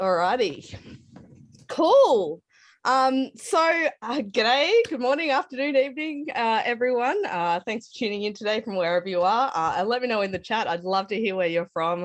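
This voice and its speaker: A fairly high-pitched woman with an Australian accent, moderate in pace, with very wide pitch swings against a quiet background. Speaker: tech speaker at hackathon. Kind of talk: online conference talk.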